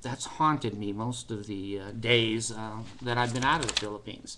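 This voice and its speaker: A man talks at a moderate pace with fairly even intonation. Noticeable background noise is audible behind him. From United States. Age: 60s. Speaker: vlogger. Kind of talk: personal vlog monologue. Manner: hesitant, many fillers.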